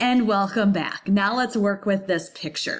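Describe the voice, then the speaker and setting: With fairly even intonation, a woman speaks at a moderate pace. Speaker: high school graphic design teacher. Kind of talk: recorded lesson tutorial. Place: home room. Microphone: webcam.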